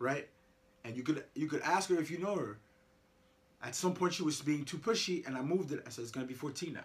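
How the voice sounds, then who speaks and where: A man with a fairly high voice talks at a very fast pace, leaving long, frequent pauses, his sound somewhat breathy. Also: ordinary pitch variation. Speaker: parent. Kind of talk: casual chat. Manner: repetitive stammering.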